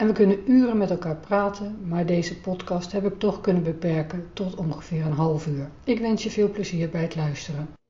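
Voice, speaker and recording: Against noticeable background noise, a woman with a Dutch accent speaks at a fairly quick pace with hardly any pauses. Her pitch is medium and varies in an ordinary way. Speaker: podcast host, hypnotherapist. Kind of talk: podcast intro; casual interview chat.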